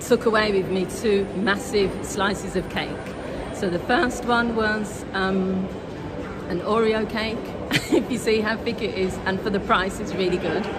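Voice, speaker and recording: Loud background noise runs under this clip. Over it, a woman speaks at a moderate pace. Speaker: food vlogger. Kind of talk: casual vlog chat. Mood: cheerful, smiling. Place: street. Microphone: phone near.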